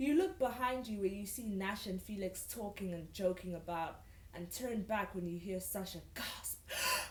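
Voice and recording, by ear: A passage read aloud in a natural voice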